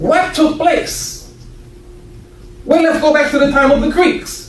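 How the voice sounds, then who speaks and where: Speaking very slowly in an American accent, a man is heard with audible room echo and noticeable background noise. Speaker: minister. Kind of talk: sermon.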